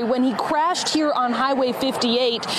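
A woman speaks with ordinary pitch variation in a dry sound with no echo, over noticeable background noise. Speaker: TV news reporter. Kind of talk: live TV news report. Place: street. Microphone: handheld.

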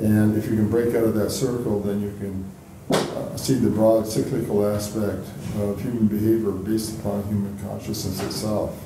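A man's fairly low, monotone voice with flat intonation at a moderate pace, amid noticeable background noise and audible room echo. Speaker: audience member. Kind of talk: audience discussion. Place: meeting room. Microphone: camera far.

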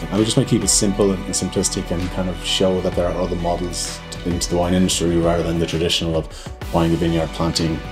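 Very deep and low in pitch, a man speaks at a very fast pace with hardly any pauses. Clear music plays in the background. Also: ordinary pitch variation. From Ireland. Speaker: cellar-door manager. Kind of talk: interview answer. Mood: calm, positive. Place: shop.

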